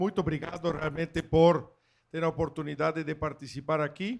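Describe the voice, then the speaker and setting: In a very clean recording with a silent background, a man talks at a moderate pace in a fairly high pitch for a man, his intonation fairly even. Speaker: agricultural machinery company executive. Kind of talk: panel talk.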